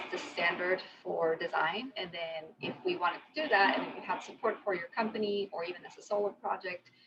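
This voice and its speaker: A woman with a Spanish accent, medium in pitch, with ordinary pitch variation at a fairly slow pace. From Mexico. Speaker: conversational designer. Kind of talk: lightning talk.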